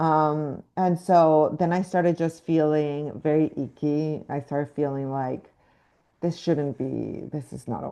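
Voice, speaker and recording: A woman with a slight Mexican accent and a dark, mellow tone speaks at a very deep, low pitch and a fairly slow pace, with fairly even intonation and a quiet background. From Mexico. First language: Spanish. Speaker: actress. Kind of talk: interview. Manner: halting, many fillers.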